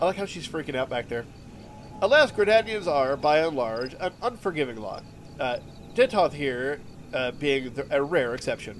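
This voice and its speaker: Over music in the background, a man with a fairly high voice talks at a moderate pace, his pitch swinging very widely. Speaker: let's play gamer. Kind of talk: gameplay commentary reading game dialogue aloud.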